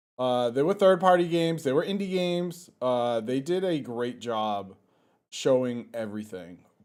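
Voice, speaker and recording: A man of medium pitch talks at a moderate pace, his pitch swinging very widely. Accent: Boston. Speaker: gaming podcast co-host. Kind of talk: casual chat.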